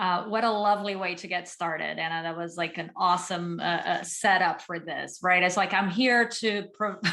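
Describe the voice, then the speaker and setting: With hardly any pauses, a woman talks at a moderate pace in a medium pitch and fairly even intonation. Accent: Portuguese. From Brazil. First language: Portuguese. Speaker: psychologist, former management consultant. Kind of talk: panel talk.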